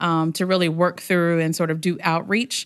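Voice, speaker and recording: A woman talks at a moderate pace with an American accent and a fairly low pitch. It is a normal speaking voice over a quiet background. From US South, Hampton, Virginia. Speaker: nonprofit outreach coordinator. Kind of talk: casual interview.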